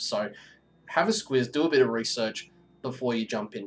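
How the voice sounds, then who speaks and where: A man talks at medium pitch with an Australian accent. His pitch variation is ordinary. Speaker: gaming streamer. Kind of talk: casual live-stream chat. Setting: home at night. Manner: loud.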